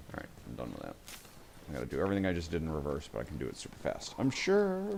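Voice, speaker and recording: A man mumbles. He talks at a very fast pace. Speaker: video game streamer. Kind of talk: live gameplay commentary. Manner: mumbling.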